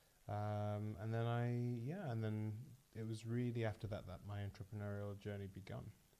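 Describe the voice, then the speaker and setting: At a moderate pace, a man with a fairly low, dark, mellow voice speaks in a monotone, flat way. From northern England, Leeds. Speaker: startup founder. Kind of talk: casual chat. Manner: hesitant, many fillers.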